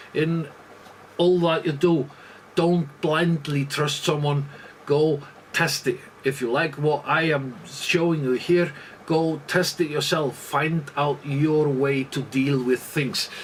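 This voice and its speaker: At a very slow pace, a man with a fairly high pitch speaks with fairly even intonation amid noticeable background noise. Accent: Icelandic. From Iceland. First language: Icelandic. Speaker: leatherworker. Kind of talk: tutorial. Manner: halting, many fillers.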